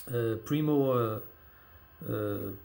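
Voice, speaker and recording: This man's voice is somewhat breathy, with medium pitch. He speaks with a non-native accent. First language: not English. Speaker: hip hop fan and blogger. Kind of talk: casual vlog monologue. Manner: halting, many fillers.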